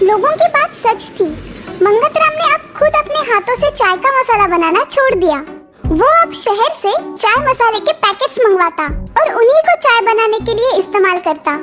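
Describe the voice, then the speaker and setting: A cartoonish character voice at an extremely high pitch, with clear music in the background. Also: moderate pace. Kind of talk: moral cartoon storytelling.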